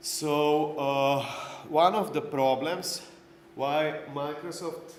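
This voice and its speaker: A man with a non-native accent and a fairly high pitch is heard over noticeable background noise and audible room echo. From Slovenia. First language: Slovenian. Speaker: conference speaker, IT trainer. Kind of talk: lecture. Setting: stage with audience.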